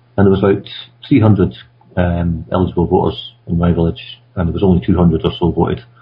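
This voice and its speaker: A man with a Scottish accent talks at a very fast pace in a very deep, low voice, his pitch varying in an ordinary way. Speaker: conference radio co-host. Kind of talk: casual discussion.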